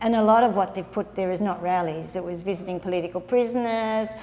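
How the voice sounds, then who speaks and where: Speaking at a fairly quick pace, the voice carries an Australian accent. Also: woman. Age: 70s. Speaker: nun. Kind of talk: interview answer. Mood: calm, earnest. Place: home room. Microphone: lapel.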